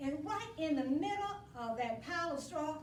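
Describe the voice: At a moderate pace, the voice makes big pitch swings amid audible room echo. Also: woman.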